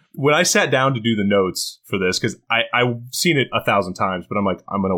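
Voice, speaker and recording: At a fairly quick pace, a man with a bright, sharp tone talks with lively intonation on a very clean recording with a silent background. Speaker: podcast guest, friend of host. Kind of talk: casual chat. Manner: animated.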